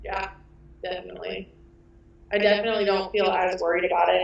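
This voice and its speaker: A woman's speech, delivered at a moderate pace, comes through with noticeable background noise behind it. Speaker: wedding photographer. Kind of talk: interview. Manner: loud; animated.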